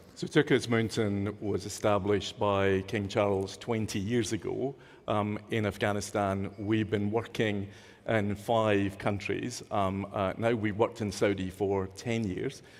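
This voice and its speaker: A man talks at a fairly slow pace in a fairly low pitch, with monotone, flat intonation. The recording is very clean, with a silent background. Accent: Scottish. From Scotland. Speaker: nonprofit leader, panelist. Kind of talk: panel discussion.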